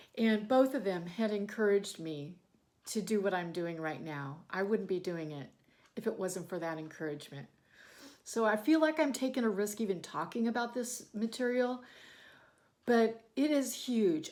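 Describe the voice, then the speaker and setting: A woman with an ordinary speaking voice talks at a moderate pace and medium pitch. Her intonation is lively, and the recording is very clean with a silent background. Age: 60s. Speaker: sewing and bagmaking YouTuber. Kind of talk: motivational talk to camera. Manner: conversational with fillers.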